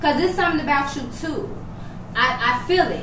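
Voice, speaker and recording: A woman talks at a moderate pace. Noticeable noise runs in the background. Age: 40s. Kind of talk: casual chat; motivational speech.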